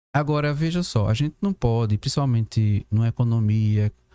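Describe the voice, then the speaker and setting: The recording of this man is dry and close, with no echo. His fairly low voice has a dark, mellow tone and ordinary pitch variation. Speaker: professor. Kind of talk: podcast discussion. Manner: fast.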